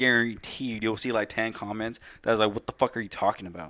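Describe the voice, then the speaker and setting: This man's voice has a bright, sharp tone at a medium pitch. The recording is very clean with a silent background. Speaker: podcast co-host. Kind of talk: casual chat. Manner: loud; animated.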